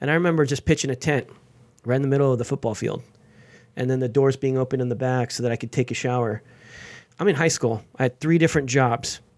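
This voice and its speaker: A man with an American accent and a medium pitch talks in an animated tone at a very fast pace, broken by long, frequent pauses, on a very clean recording with a silent background. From Los Angeles, US. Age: 40s. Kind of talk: interview conversation.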